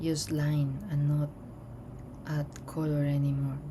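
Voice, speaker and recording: A woman with a very deep, low pitch talks at a very slow pace in a relaxed tone, her intonation fairly even. Noticeable background noise and audible room echo fill the recording. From Colombia. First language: Spanish. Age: 30s. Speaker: artist. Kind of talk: casual chat while drawing.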